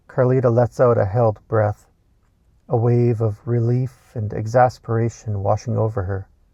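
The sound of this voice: At a moderate pace, a man speaks with a dark, mellow tone at a medium pitch. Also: fairly even intonation.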